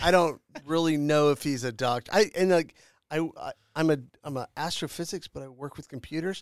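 In a very clean recording with a silent background and a dry, close sound with no echo, a man with a fairly high pitch talks at a moderate pace, with long, frequent pauses and big swings in loudness. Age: middle-aged. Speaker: podcast host. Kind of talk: casual chat. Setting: studio.

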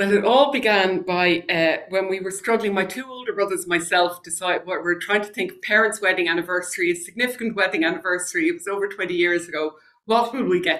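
With an Irish accent, a woman rattles along at a very fast pace with hardly any pauses, her medium pitch showing ordinary variation while her loudness swings widely. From Ireland. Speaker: former senator and genealogist. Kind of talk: interview conversation.

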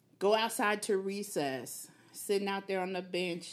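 Speaking at a very slow pace, a woman with an American accent has a medium pitch. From Killeen, Texas. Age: 40s. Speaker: fitness enthusiast, mother. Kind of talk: casual podcast interview.

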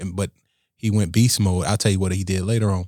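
A man at a fairly low pitch with monotone, flat intonation, in a very clean, dry, close recording with a silent background and no echo. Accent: American. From Riviera Beach, Florida. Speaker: state senator. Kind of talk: casual interview conversation.

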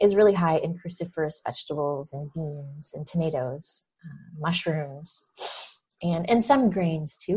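A woman's somewhat breathy, dark, mellow voice, fairly low in pitch, at a fairly slow pace, with big swings in loudness. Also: ordinary pitch variation. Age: 40s. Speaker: nutrition health coach and podcast host. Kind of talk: interview answers, casual chat.

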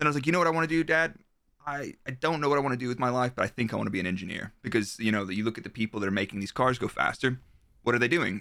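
At a very fast pace, a man talks in a medium pitch with a bright, sharp tone. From Texas, Dallas. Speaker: ex-Formula One performance engineer. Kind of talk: casual chat.

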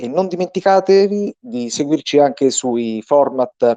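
With lively intonation and a dark, mellow tone, a man speaks in a dry, close sound with no echo. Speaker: radio host. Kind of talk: radio sports show.

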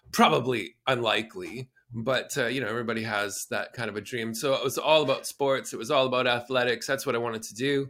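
A man with a Canadian accent speaks at a very fast pace with hardly any pauses, his medium-pitched voice bright and sharp in tone, the intonation fairly even. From southern Alberta, Canada. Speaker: performer and producer. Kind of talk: interview.

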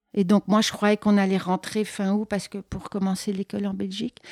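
Recorded very cleanly over a silent background, a woman's voice sounds dry and close with no echo. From Belgium. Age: 50s. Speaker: artist. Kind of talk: interview. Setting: artist's studio.

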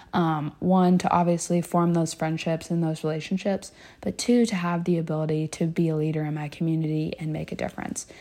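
Talking at a fairly quick pace, a woman with an American accent has a fairly low voice. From Kentucky, Louisville. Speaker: student organization president, pre-med student. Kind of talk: casual interview.

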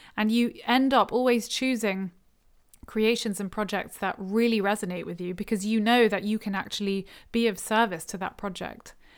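On a very clean recording with a silent background, a woman with an ordinary speaking voice talks at a moderate pace and fairly high pitch, her intonation fairly even. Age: 30s. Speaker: spiritual podcast host. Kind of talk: solo talk. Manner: casual and reflective, with laughter.

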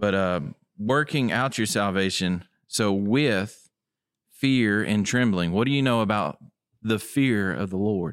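A man's resonant, fairly low voice with a West Tennessee accent, ordinary pitch variation, very even loudness and a fairly slow pace, on a very clean recording with a silent background. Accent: US Southern (West Tennessee). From West Tennessee (Tipton County). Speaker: guest sharing testimony, Bible study. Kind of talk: Bible study discussion.

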